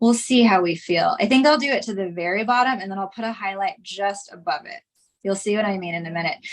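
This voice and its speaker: A woman talks at a very fast pace in a medium pitch with an animated tone. Her loudness swings widely, while her pitch varies in an ordinary way. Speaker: art instructor. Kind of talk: live workshop tutorial. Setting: live stream.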